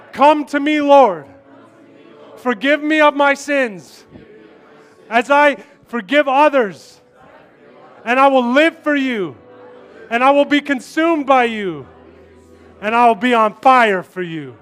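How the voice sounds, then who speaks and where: Against noticeable background noise, a man speaks at a very slow pace in an extremely high pitch and warm tone, with ordinary pitch variation and long, frequent pauses. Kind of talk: sermon. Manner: warm, impassioned, with joking asides to the crowd.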